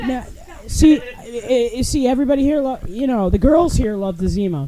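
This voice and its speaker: Lively in intonation and high in pitch, a woman talks at a moderate pace against noticeable background noise. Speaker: podcast guest. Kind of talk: casual chat. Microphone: poor audio quality.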